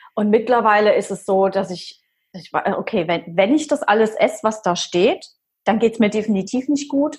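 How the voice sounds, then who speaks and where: A woman with a fairly high pitch speaks in a somewhat breathy voice with lively intonation. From Palatinate, Germany. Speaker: fitness coach. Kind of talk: personal story interview. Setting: video call. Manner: animated.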